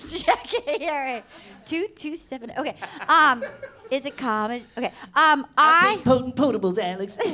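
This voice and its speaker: In an American accent, a woman projects a raised, high-pitched voice, bright and sharp, with lively intonation at a fairly slow pace. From Rhode Island / Fall River, Massachusetts. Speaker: comedian. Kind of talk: live comedy panel banter. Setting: stage with audience.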